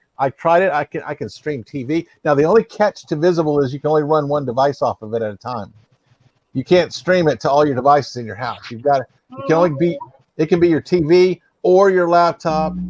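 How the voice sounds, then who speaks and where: The pace is fairly quick, with ordinary pitch variation. The sound is dry and close, with no echo. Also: man, fairly high pitch for a man. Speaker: live-stream panel host. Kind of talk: casual chat. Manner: loud.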